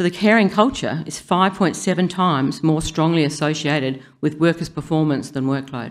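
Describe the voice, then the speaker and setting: With an Australian accent, a woman speaks in a very deep, low pitch with ordinary variation and hardly any pauses, on a very clean recording with a silent background. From South Australia. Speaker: public health scientist. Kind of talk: conference talk. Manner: fast.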